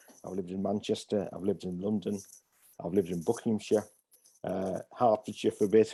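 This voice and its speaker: A man with a northeast English accent, a fairly low pitch, a dark, mellow tone and fairly even intonation. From northeast England, Hartlepool, County Durham. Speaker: pastor. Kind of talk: interview. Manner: hesitant, many fillers.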